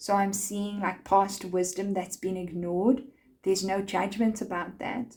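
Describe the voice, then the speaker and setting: Somewhat breathy, a woman talks at a fairly slow pace. Her intonation is monotone and flat. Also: medium pitch for a woman. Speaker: tarot card reader. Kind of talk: tarot reading.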